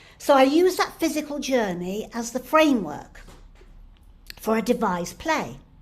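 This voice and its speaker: There is audible room echo around a woman speaking in a high pitch. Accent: Manchester. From northern England, Stretford near Manchester. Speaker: playwright and actor. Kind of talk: keynote lecture. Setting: online conference. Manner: halting.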